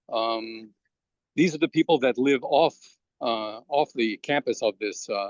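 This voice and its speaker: With a New York accent, a man speaks at medium pitch and a moderate pace, his pitch varying in an ordinary way. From Brooklyn, New York. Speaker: immigrant rights activist. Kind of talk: interview. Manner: halting.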